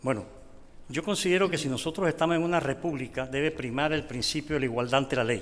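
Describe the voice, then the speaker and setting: Over noticeable background noise, a man talks at a very fast pace. His voice sits fairly high, with ordinary pitch variation. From Panama. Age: 70s. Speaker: lawyer, judicial candidate. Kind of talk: formal interview. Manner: formal.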